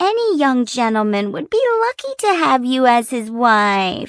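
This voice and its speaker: This is a put-on character voice that sounds female, pitched high. The background is quiet. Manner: mocking, gushing.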